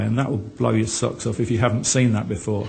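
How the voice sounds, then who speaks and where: A man talks at a very fast pace, and audible room echo follows his words. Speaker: author and speaker on Mormonism. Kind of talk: conference presentation.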